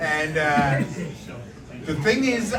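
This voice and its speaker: A man with a fairly high pitch, plus audible room echo and noticeable background noise. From Maryland, Baltimore area. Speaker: stand-up comedian. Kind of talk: stand-up. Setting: stage with audience.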